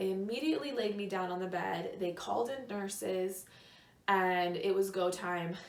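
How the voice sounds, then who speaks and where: Audible room echo is present as a woman talks at a medium pitch. Her pace is moderate, with ordinary pitch variation. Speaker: lifestyle vlogger. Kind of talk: personal storytelling. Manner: hesitant fillers.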